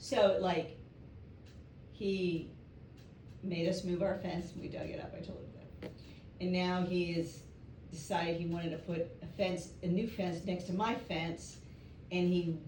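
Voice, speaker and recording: With a strong New York accent, a woman talks in a fairly low voice. Her intonation is fairly even, and audible room echo surrounds her. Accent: strong New York speech. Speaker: catechism class participant. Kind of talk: class discussion.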